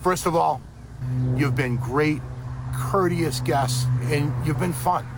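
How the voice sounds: A man's fairly high voice at a fairly slow pace, with lively intonation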